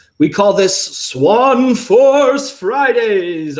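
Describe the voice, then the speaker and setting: A man puts on a character voice at an extremely high pitch. His intonation is lively. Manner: spooky.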